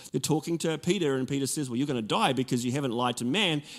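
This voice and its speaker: Recorded very cleanly against a silent background, a man with a New Zealand accent speaks in a fairly high pitch with ordinary pitch variation. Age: 40s. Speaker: pastor. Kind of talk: sermon. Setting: church with congregation.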